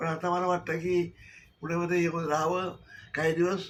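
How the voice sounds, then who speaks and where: A man's fairly high voice with monotone, flat intonation. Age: 80s+. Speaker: Marathi literary activist. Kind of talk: testimonial to camera.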